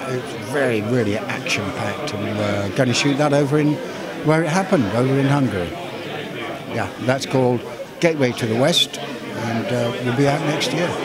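Over crowd noise in the background, a man speaks at a moderate pace with ordinary pitch variation and a dry sound with no echo. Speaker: actor. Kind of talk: interview answer.

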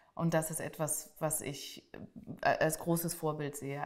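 A woman speaks against a quiet background. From Germany, Switzerland and France. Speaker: writer; interviewee. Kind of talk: interview statements. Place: hall.

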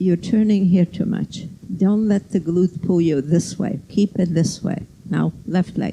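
Against light background noise, a woman with a fairly low pitch, a dark, mellow tone and vocal fry speaks at a fairly slow pace. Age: 80s+. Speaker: yoga teacher. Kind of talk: led yoga class instruction. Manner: precise, constantly reminding. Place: gym.

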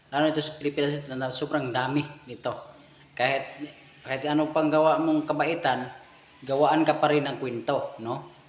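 A man's fairly high, monotone, flat voice at a fairly quick pace, with long, frequent pauses and noticeable background noise. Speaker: vlogger commenting on a clip. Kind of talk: casual commentary.

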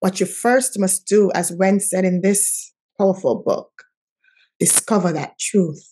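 Against a quiet background, a woman speaks fairly slowly with a medium pitch and a dark, mellow tone. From St. Kitts, Caribbean. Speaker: nonprofit founder, former stockbroker; podcast guest. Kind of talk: interview, motivational. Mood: earnest, encouraging. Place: home room. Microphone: video call.

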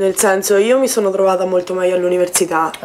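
Light noise sits in the background. A woman does the talking. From Umbria, central Italy (Foligno). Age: 20s. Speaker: university student. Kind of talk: casual chat. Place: home room. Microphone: camera far.

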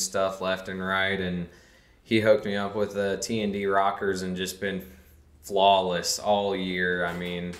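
A man's fairly low voice at a fairly slow pace, monotone and flat in intonation, with audible room echo. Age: 30s. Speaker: street racer; podcast guest. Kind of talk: casual chat. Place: studio.

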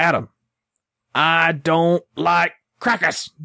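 At a middle pitch, the speaker puts on a character voice in a Southern US accent. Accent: southern drawl.

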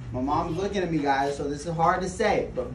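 Audible room echo surrounds the voice, along with light background noise. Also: man. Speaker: casual vlogger. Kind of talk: casual vlog chat. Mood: playful, earnest advice. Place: kitchen.

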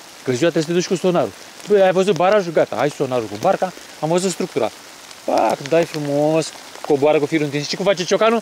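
A man speaks at a very fast pace. The recording is dry with no echo and has light background noise. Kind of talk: casual chat about fishing. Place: waterside. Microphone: phone near.

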